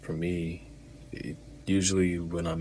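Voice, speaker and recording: Quiet and somewhat breathy, a man talks with a very deep, low pitch and ordinary pitch variation. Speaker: vlogger. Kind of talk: personal talk to camera. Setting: alone, home recording. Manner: low, quiet voice.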